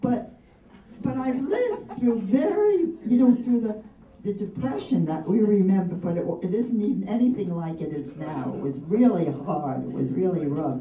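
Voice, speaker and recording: A woman talks at a fairly slow pace and a medium pitch, with very wide pitch swings. Noticeable background noise is present. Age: 80s+. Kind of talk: birthday speech. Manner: warm, heartfelt.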